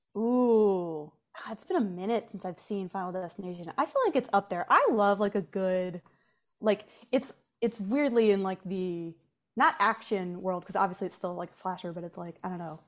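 Animated in tone, the voice moves at a moderate pace with ordinary pitch variation and big swings in loudness. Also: woman, medium pitch for a woman. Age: 20s. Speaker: pop culture content creator. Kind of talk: casual chat. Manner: animated, frequent fillers and laughter.

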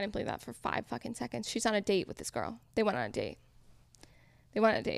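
In an American accent, a woman talks at a very fast pace. Long, frequent pauses break up her speech. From Connecticut. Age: 20s. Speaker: food content creator. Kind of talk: casual chat.

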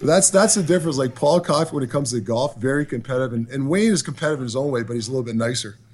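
In a Canadian accent, a man at medium pitch talks at a very fast pace with hardly any pauses, somewhat breathy, with lively intonation. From Ontario, Canada. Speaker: hockey head coach. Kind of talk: interview.

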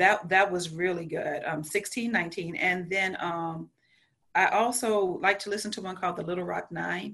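A woman's bright, sharp tone at medium pitch, moderate in pace and fairly even in intonation. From rural south Louisiana. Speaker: school counselor. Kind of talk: interview.

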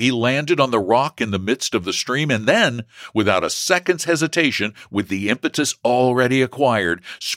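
The speaker uses an unforced reading voice. The intonation is lively.

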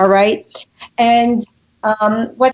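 Here a woman speaks with a fairly high pitch. Her pace is very slow. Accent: New York. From New York. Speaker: relationship and communication expert. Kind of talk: interview. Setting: phone call. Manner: animated.

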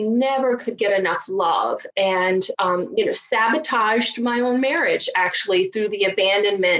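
A woman with a fairly high pitch speaks at a moderate pace with hardly any pauses and very even loudness. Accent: Southern US. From rural Virginia mountains, US. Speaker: divorce strategist and coach. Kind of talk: interview, conversational.

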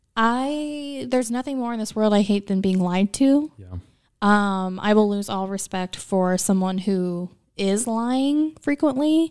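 An ordinary speaking voice, a woman with an American accent talks at a fairly slow pace with fairly high pitch and lively intonation, in a very clean recording with a silent background. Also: big swings in loudness. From US Midwest, small town Illinois. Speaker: podcast host. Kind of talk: casual chat.

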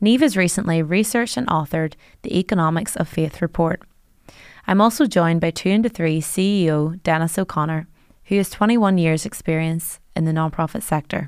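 A woman at a fairly quick pace, an ordinary speaking voice with ordinary pitch variation, on a very clean recording with a silent background. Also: fairly low pitch for a woman. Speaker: podcast host. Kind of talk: interview podcast, host introducing and questioning.

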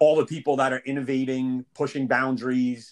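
A man's voice at a medium pitch comes across as a normal speaking voice, with a dry, close sound with no echo. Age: 30s. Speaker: fitness client, challenge champion. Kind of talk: rapid-fire interview.

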